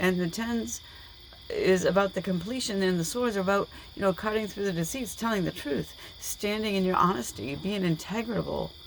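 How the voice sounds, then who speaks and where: A woman speaks at a moderate pace with a medium pitch and ordinary pitch variation. Noticeable background noise is present. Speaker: tarot reader. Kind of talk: tarot reading. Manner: animated.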